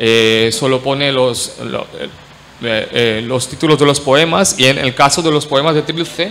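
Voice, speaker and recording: With noticeable background noise and audible room echo, a man speaks at a fairly slow pace with a fairly high pitch and ordinary pitch variation. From India, Marathi-speaking. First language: Marathi (speaking Spanish). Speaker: academic panelist. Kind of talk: conference talk. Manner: halting, many fillers.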